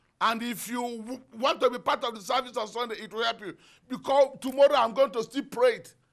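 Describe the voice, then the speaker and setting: Over a quiet background, a man talks at a moderate pace with ordinary pitch variation. His tone is bright, sharp and animated. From Nigeria. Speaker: pastor. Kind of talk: sermon with fervent prayer and decrees. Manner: fervent, animated, preaching. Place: studio. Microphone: lapel.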